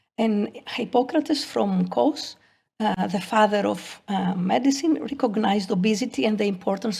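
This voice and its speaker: At a moderate pace, a woman talks with vocal fry. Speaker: pathology professor. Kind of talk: lecture. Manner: halting.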